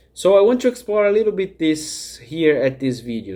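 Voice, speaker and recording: With a Brazilian accent, a man speaks in a dark, mellow tone marked by very wide pitch swings. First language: Portuguese. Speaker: life coach. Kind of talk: talking-head vlog.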